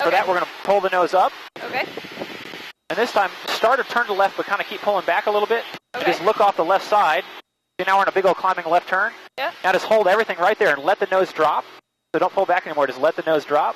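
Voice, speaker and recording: Very fast speech, dry with no echo, over light background noise. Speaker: flight instructor. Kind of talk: instruction. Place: plane. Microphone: headset.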